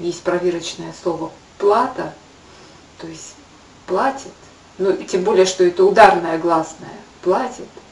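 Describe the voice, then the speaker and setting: A woman talks at a fairly slow pace with long, frequent pauses. Her loudness swings widely, and the room echo is audible. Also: medium pitch for a woman, ordinary pitch variation. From Buryatia, Ulan-Ude; Buryatia. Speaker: video blogger. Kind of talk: educational talk to camera. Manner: halting. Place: kitchen. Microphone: webcam.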